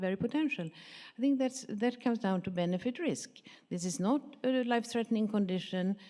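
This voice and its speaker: Dark and mellow in tone, the voice moves at a fairly quick pace with lively intonation. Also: woman. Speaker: pharmaceutical industry professional, audience member. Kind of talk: audience question at a conference panel.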